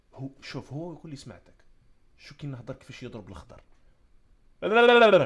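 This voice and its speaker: A man with an Algerian accent speaks at a fairly quick pace and fairly high pitch, with very wide pitch swings, big swings in loudness and long, frequent pauses. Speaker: comedic storyteller / live streamer. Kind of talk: casual live-stream talk.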